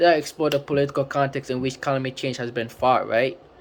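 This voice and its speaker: A man with a non-native accent at a very fast pace. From Africa. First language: not English. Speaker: book reviewer. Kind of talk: casual book review talk. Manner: halting, many fillers.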